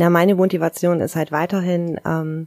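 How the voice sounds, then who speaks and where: The sound is dry and close, with no echo, and the woman has an unremarkable speaking voice. Her pitch sits fairly low, and she keeps a moderate pace. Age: 40s. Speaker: kindergarten teacher. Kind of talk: interview.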